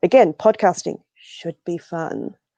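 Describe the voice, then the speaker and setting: A woman speaks with an Australian accent, her fairly low pitch and dark, mellow tone held in fairly even intonation. The sound is dry and close, with no echo and a quiet background. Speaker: blogger and podcast host. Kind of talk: casual chat.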